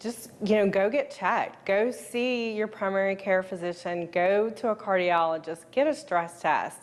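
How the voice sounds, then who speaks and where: A woman with a plain, everyday voice, medium pitch, ordinary pitch variation, a moderate pace and hardly any pauses. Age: 40s. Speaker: interviewee sharing health story. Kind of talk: interview testimony.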